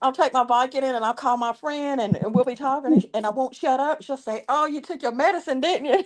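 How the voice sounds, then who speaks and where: A woman with an American accent talks at a very fast pace in a high pitch, with hardly any pauses. Background noise is noticeable. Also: ordinary pitch variation. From US South, the Carolinas. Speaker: live streamer. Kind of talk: casual chat.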